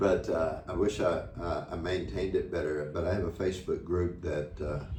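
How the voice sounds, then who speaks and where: Speaking with an American accent, a man with a very deep, low pitch keeps a fairly even intonation at a moderate pace, with audible room echo. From United States. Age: 70s. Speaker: retiree running a children's charity. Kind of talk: interview. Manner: halting, repeats words.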